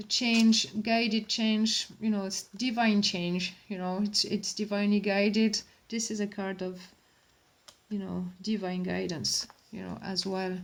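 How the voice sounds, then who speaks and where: The speech is fairly slow, somewhat breathy and in a French accent. Its intonation stays monotone and flat. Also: woman, medium pitch for a woman. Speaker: tarot reader. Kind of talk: tarot reading. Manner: hesitant, many fillers.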